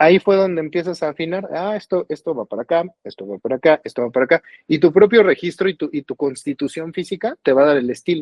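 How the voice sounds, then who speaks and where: An unremarkable speaking voice from a man, with lively intonation at a fairly quick pace. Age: 40s. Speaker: singer-songwriter. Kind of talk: interview conversation.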